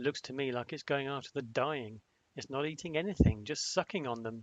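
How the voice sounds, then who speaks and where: Using a plain, everyday voice, a man keeps to ordinary pitch variation at a moderate pace. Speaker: author reading own book. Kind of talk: audiobook fantasy narration.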